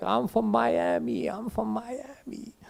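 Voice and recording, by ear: A put-on character voice comes through at a middle pitch. Its delivery is fairly slow.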